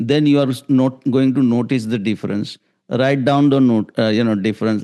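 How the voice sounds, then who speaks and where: A man's dark, mellow voice sits at medium pitch, with monotone, flat intonation. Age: 60s. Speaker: raw food advocate and author. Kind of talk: podcast interview. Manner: halting.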